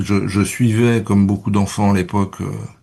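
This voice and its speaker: A man at a fairly quick pace. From Paris region, France. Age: 60s. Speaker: spiritual interview guest, entrepreneur. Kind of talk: interview. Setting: radio studio. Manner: halting, many repetitions and fillers.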